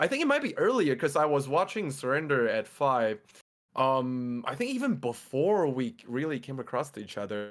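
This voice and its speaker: Moderately paced delivery, intonation lively throughout. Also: man, fairly high pitch for a man. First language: Mandarin. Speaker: Twitch streamer and fitness coach. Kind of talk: casual chat.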